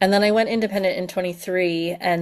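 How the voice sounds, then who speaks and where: A woman's fairly low voice in a flat monotone. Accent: American. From US, Pennsylvania. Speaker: education consultant. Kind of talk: webinar presentation. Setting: video call webinar. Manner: casual, filler-heavy.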